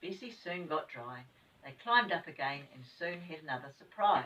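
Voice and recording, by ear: A woman speaks at a low pitch with a fairly bright tone. Her intonation is lively, with a slightly husky edge.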